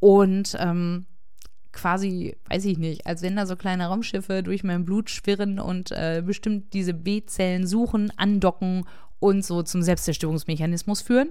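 Audible room echo carries a woman's dark, mellow tone at a medium pitch. Her delivery is monotone and flat, at a fairly slow pace. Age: 40s. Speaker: podcaster living with MS. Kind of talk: personal monologue.

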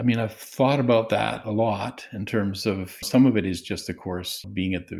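On a very clean recording with a silent background, a man with a Canadian accent and an unremarkable speaking voice talks at a moderate pace with fairly even intonation. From Saskatchewan, Canada. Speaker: professor of counseling psychology. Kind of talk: interview.

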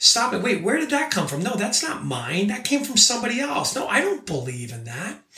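A man speaks in a raised, projected voice. Noticeable background noise and audible room echo are present. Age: 40s. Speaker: life coach. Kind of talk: motivational monologue. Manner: casual with many fillers.

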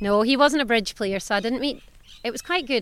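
A woman in a Scottish accent with ordinary pitch variation, on a very clean recording with a silent background. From southwest Scotland. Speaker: veterinarian and clinic owner. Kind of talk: casual interview chat. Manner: animated, warm, candid.

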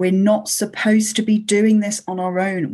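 A woman speaks at a fairly slow pace in a somewhat breathy, medium-pitched voice. The background is quiet. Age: 50s. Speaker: podcast host. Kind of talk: interview.

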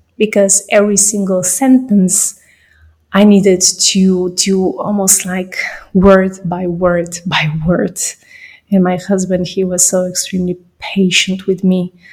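A woman's medium-pitched, somewhat breathy voice with a non-native accent, monotone and flat, at a very slow pace. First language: not English. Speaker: podcaster. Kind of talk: personal monologue.

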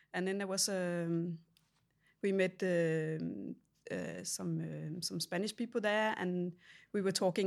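A woman with a Danish accent and a fairly low pitch is heard on a very clean recording with a silent background. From Denmark. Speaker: ceramic artist. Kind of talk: interview. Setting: artist's studio. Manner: halting.

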